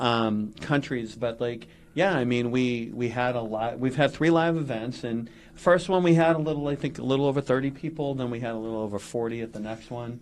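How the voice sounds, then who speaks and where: Talking at a fairly quick pace, a man with a Massachusetts accent keeps a medium pitch with ordinary pitch variation. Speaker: podcast co-host. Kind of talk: casual chat.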